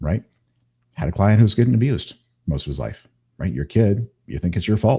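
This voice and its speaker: A fairly low-pitched man with an American accent, dark and mellow in tone with vocal fry, lively intonation, a fairly quick pace and long, frequent pauses. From Kansas, US Midwest. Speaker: hypnotist. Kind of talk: interview conversation. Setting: live video stream.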